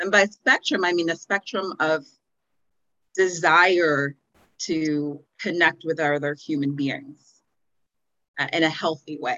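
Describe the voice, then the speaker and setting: A woman with an American accent speaks at a very slow pace, with long, frequent pauses. Her pitch is very deep and low, with ordinary pitch variation. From Houston, Texas. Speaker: anti-racism organization founder. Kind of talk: casual interview conversation.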